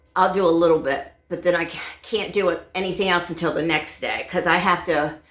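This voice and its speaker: Audible room echo surrounds the voice. A woman talks at a fairly quick pace. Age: 70s. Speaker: home cleaning vlogger. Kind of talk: casual vlog talk. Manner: halting, many fillers.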